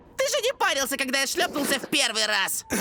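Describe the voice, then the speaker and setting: Someone uses a put-on character voice, high-pitched and very fast, over clear background noise. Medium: fan dub. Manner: casual, wisecracking.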